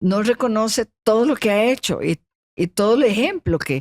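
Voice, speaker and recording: A woman speaks at a fairly slow pace with a fairly high pitch. Her pitch swings very widely, and the sound is dry and close with no echo. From Costa Rica. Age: 70s. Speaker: motorsport pioneer and sports leader. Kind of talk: podcast interview.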